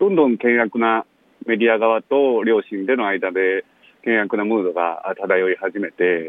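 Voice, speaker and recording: Fairly slowly and with ordinary pitch variation, a man talks at a fairly low pitch. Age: 30s. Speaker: son of a death-row inmate, author. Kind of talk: interview. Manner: halting, many fillers.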